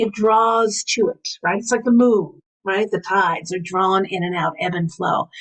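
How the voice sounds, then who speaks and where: A woman speaks at a fairly slow pace with an American accent, her pitch medium and its variation ordinary. Hers is an unremarkable speaking voice. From New York. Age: 60s. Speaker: priestess and spiritual teacher. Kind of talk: interview.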